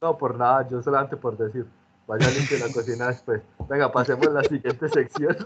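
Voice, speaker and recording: The voice is somewhat breathy. A man talks at a fairly quick pace. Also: medium pitch for a man, fairly even intonation. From Medellín, Colombia. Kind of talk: casual chat.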